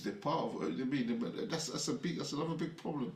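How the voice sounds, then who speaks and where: This man's fairly high voice races at a very fast pace with very wide pitch swings. Noticeable background noise and audible room echo surround him. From London, UK. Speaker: afrobeats music industry figure. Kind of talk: casual interview chat. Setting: studio.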